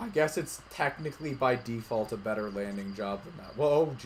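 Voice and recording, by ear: Lively intonation marks this read-aloud passage in a natural voice.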